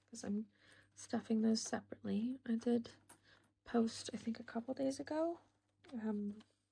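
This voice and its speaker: This woman speaks at a fairly slow pace with a dark, mellow tone. Her voice is somewhat breathy. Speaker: budgeting vlogger. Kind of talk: casual vlog chat. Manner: quiet, soft-spoken.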